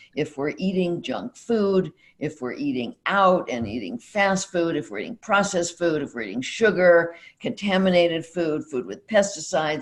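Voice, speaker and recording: Vocal fry runs through this woman's fairly low voice. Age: 80s+. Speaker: psychologist. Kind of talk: interview. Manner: halting.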